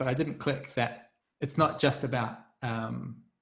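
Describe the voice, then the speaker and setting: A man with a New Zealand accent speaks at a medium pitch, somewhat breathy, with ordinary pitch variation. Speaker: community facilitator. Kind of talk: group video call discussion.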